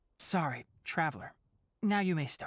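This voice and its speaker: Someone does a put-on character voice at a middle pitch and a moderate pace. The recording is very clean, with a silent background. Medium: video game.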